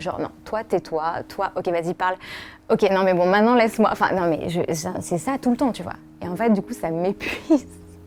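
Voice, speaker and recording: A woman speaks softly. Her pitch shows ordinary variation. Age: 20s. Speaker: podcast founder. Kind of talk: personal testimony. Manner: soft-spoken; hesitant, many fillers.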